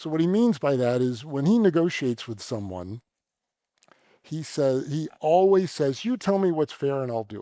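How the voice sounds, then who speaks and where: A man's fairly high voice with a dark, mellow tone, very wide pitch swings, big swings in loudness and a moderate pace. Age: 60s. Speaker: venture capitalist and university trustee. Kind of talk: onstage conversation.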